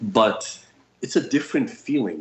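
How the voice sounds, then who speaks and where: A man talks with a New York accent. Noticeable background noise can be heard. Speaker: psychic healer and educator. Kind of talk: casual chat.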